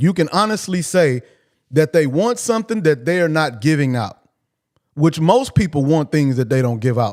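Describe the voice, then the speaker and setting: At a moderate pace, a man talks in a normal speaking voice with a fairly high pitch and lively intonation. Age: 40s. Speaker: livestream host. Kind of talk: casual monologue. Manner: repetitive.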